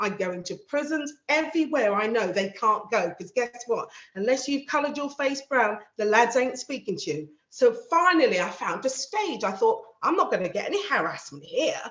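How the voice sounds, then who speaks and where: A woman's high, animated voice at a moderate pace, with very wide pitch swings and hardly any pauses. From South London. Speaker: panel speaker, magistrate and community advocate. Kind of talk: panel talk.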